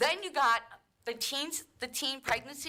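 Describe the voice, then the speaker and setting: Raised and projected, a woman's high-pitched voice carries a bright, sharp tone and ordinary pitch variation. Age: 60s. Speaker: resident speaking at public comment. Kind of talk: public comment at council meeting. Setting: city council meeting chamber. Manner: animated, exasperated.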